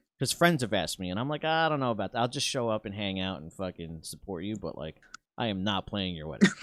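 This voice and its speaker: A man with an American accent talks at a very fast pace, his fairly low pitch making very wide swings, on a very clean recording with a silent background. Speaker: podcast host and guitarist. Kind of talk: casual chat.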